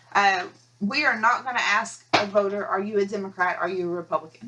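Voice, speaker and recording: At a fairly quick pace, a woman with an American accent speaks at medium pitch over noticeable background noise. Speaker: county elections administrator. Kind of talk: training video. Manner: fast; halting, with pauses and stuttering.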